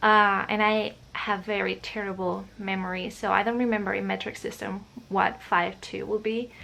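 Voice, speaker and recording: A woman with a Spanish accent talks with hardly any pauses. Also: moderate pace. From Spain, Madrid region. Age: 20s. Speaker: vlogger. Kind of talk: casual chat. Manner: hesitant, many fillers.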